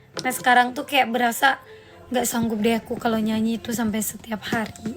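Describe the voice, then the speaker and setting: Over music in the background, a woman with a fairly high pitch talks at a fairly quick pace in a monotone, flat intonation. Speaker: singer and live streamer. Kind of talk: casual live stream chat.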